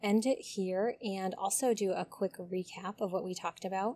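At a fairly slow pace, a woman speaks in a plain, everyday voice with medium pitch and fairly even intonation, on a very clean recording with a silent background. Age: 30s. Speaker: podcast host and graduate student. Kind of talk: solo podcast monologue.

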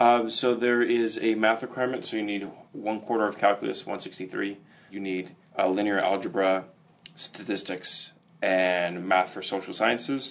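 Speaking at a moderate pace, a man uses an ordinary speaking voice with fairly low pitch and fairly even intonation. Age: 20s. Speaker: student. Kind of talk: interview.

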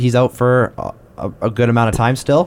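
A man's medium-pitched voice at a very fast pace. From Canada. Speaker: sports podcast host. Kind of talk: casual chat.

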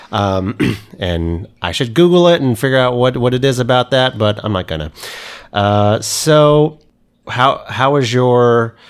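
Recorded very cleanly with a silent background, a man with a plain, everyday voice speaks at a fairly slow pace and medium pitch with lively intonation. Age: 30s. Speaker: podcast host. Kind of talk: interview.

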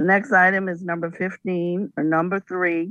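Dry and close with no echo, the sound carries a woman's ordinary speaking voice. She is fairly low in pitch and fairly slow in pace. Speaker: auction item reader. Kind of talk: reading aloud item descriptions.

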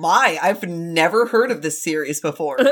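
At a moderate pace, a woman speaks at medium pitch with very wide pitch swings over noticeable background noise. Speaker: podcast co-host. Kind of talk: casual, joking banter.

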